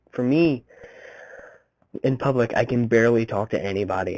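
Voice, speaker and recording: A man mumbles at a medium pitch with fairly even intonation, and the sound is dry and close with no echo. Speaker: vlogger. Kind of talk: casual vlog monologue. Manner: mumbling, fumbles words.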